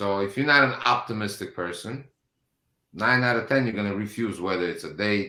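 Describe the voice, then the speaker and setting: A man with a non-native accent speaks at a fairly quick pace in a bright, sharp tone with lively intonation. The recording is very clean, with a silent background. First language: not English. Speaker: business owner. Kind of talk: panel discussion. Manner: halting.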